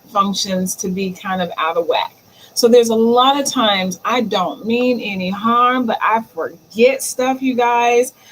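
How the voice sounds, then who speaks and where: A woman's fairly high voice at a fairly slow pace, with ordinary pitch variation, over noticeable background noise. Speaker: digital marketing livestream host. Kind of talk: solo livestream talk. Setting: live stream. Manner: stammers at times; casual, chatty.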